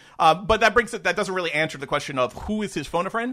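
A man with an American accent speaks in a bright, sharp tone. The recording is very clean, with a silent background. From New York. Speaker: podcast co-host. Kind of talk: casual chat.

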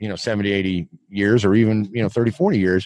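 A man with an American accent talks at a moderate pace in a plain, everyday voice pitched fairly low. The background is quiet, and the sound is dry and close with no echo. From Eastern Kansas. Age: 50s. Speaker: lead-free fishing advocate. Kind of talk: interview.

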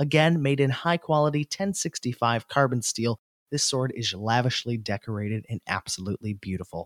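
This man speaks with an American accent at a medium pitch and a moderate pace. His intonation is lively, and the sound is dry and close with no echo. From US North. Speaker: podcast host. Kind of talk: interview, casual.

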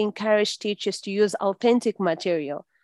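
In a Portuguese accent, a woman speaks at a moderate pace with lively intonation. The sound is dry and close with no echo, over a quiet background. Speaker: English teacher and teacher trainer. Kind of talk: interview.

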